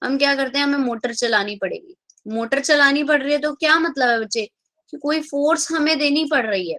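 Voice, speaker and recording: A bright, sharp tone comes at a moderate pace with ordinary pitch variation, in a dry, close sound with no echo. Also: woman, high pitch for a woman. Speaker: chemistry teacher. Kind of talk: online class lecture. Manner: speaking softly.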